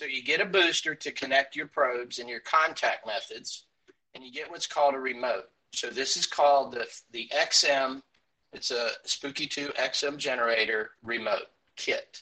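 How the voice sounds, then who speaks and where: A man with an American accent talks at a moderate pace. His loudness swings widely. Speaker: alternative health device enthusiast. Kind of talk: tutorial. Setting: video call.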